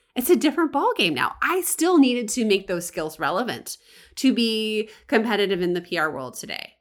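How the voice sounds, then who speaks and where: Fairly high in pitch, a woman speaks at a fairly quick pace. Her tone is animated, with very wide pitch swings. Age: 40s. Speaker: podcast host and freelance business coach. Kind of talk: casual solo podcast monologue. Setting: home recording.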